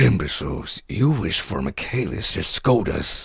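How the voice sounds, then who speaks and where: Putting on a raspy character voice, a man speaks at a moderate pace with a fairly low pitch and very wide pitch swings. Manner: gruff, irritable.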